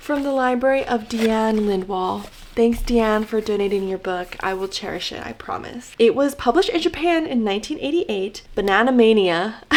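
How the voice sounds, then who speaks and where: Noticeable background noise sits behind a woman's voice. She speaks at a fairly high pitch with very wide pitch swings. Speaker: book vlogger. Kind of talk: casual vlog. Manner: animated.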